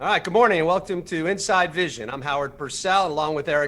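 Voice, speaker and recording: A loud, high-pitched man at a very fast pace with ordinary pitch variation. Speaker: show host. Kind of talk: casual chat.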